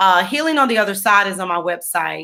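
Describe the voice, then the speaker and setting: A woman speaks in a bright, sharp tone. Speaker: poet and author. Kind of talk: interview.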